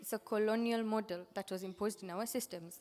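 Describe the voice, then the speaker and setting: A woman of medium pitch talks at a fairly quick pace with fairly even intonation. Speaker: legal researcher presenting findings. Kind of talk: conference presentation. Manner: fast.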